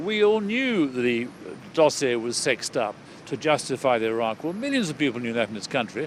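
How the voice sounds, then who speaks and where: With very wide swings in pitch, a man talks at a moderate speed while noticeable background noise goes on. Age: 70s. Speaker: retired surgeon and campaigner. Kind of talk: interview. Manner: hesitant, repeats words.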